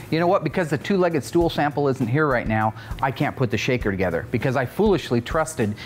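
Music plays in the background as a man talks at a very fast pace. His intonation is lively. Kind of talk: casual commentary and workshop banter. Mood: joking, then mildly annoyed. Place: workshop.

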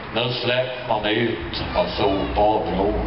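A man at a very slow pace, with noticeable background noise. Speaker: poetry reciter. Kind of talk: poetry reading in regional dialect. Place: street. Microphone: camera far.

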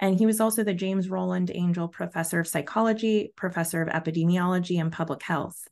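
Against a quiet background, a woman speaks very fast at a fairly low pitch with fairly even intonation. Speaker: research program deputy director, webinar host; webinar host. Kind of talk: webinar hosting. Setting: video call. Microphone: video call.

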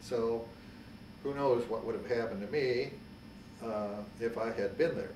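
A man speaks at a moderate pace in a medium-pitched voice. Light background noise and audible room echo are present. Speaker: World War II Army veteran. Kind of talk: interview answer. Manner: hesitant, with frequent filler words. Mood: reflective, sober. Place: home room.

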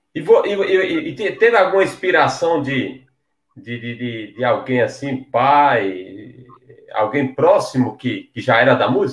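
Speaking very slowly in a northeastern Brazilian accent, a man swings his pitch very widely, with audible room echo and a quiet background. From Paraíba, Brazil. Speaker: online show host. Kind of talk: interview. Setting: video call. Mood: friendly, relaxed. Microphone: headset.

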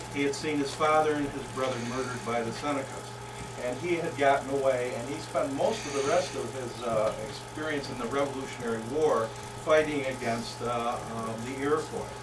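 Over noticeable background noise, a man talks at a fairly quick pace, with a fairly high pitch and fairly even intonation. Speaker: presenter. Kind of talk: presentation with slides. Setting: room with audience.

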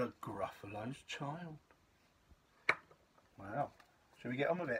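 A man speaks at a fairly slow pace in a somewhat breathy voice over loud background noise. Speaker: parent reading to child. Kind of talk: casual talk to child. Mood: playful, warm. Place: home room. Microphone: phone near.

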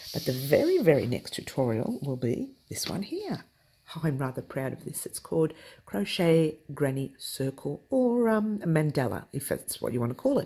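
A woman speaks with a very deep, low voice that swings very widely in pitch. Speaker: crochet tutorial host. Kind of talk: tutorial. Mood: cheerful, playful.

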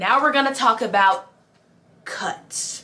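Light noise sits behind a woman who talks at a moderate speed. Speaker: musical theatre performer and youtuber; actor giving audition tips. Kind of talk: tutorial. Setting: indoors in a city, street noise. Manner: animated. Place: home room.

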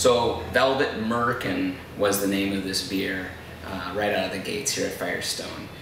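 In a room with audible echo and light background noise, a man with a fairly low pitch speaks at a moderate pace. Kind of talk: interview answer. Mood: amused, relaxed. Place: bar.

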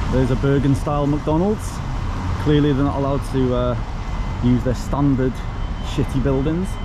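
A man talks fairly fast while noticeable noise fills the background. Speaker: travel vlogger. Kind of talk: casual vlog chat. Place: street. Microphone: phone near.

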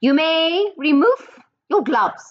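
A put-on character voice, female-sounding and robotic, shouts at an extremely high pitch. The woman's delivery stays loud throughout. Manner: shouting commanding.

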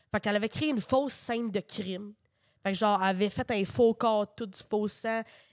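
Here a woman uses a plain, everyday voice at a medium pitch with fairly even intonation. She talks at a fairly quick pace, and the sound is dry and close with no echo. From Quebec, Drummondville. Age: 20s. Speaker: comedian. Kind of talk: casual chat.

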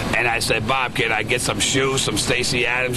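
A man talks at a moderate pace and medium pitch. Loud background noise accompanies him. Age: 60s. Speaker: Vietnam veteran; interviewee. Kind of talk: street interview. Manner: animated. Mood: animated storytelling, quoting others. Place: street.

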